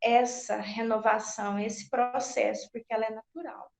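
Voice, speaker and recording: At a very slow pace, a woman speaks. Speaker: spiritist lecturer. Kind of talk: religious talk. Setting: video call.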